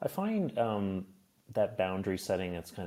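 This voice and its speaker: This is a man speaking. He has a Maritime Canadian accent. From Nova Scotia, Canada. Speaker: stand-up comedian, former diplomat. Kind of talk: casual interview chat.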